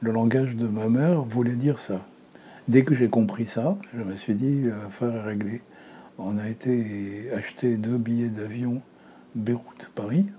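A man with a dark, mellow tone speaks at a medium pitch with ordinary pitch variation. His pace is very slow, with long, frequent pauses. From Lebanon, Beirut. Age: 70s. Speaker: retired documentary filmmaker and film teacher. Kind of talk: testimony.

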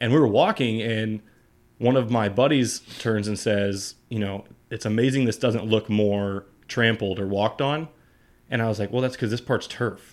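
A man speaks at a moderate pace in a medium pitch. The recording is very clean, with a silent background. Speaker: guest co-host. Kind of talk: casual chat. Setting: studio. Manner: excitable.

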